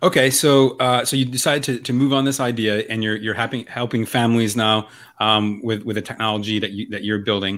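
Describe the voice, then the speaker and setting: Here is a man with a normal speaking voice at a medium pitch and fairly even intonation. He talks at a fairly quick pace with hardly any pauses. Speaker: podcast host. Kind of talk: casual interview chat.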